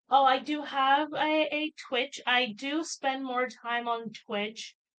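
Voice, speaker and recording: A woman speaks with a Puerto Rican accent. Her pace is fairly slow. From Puerto Rico. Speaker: writer and streamer. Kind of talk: casual chat. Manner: halting, many fillers.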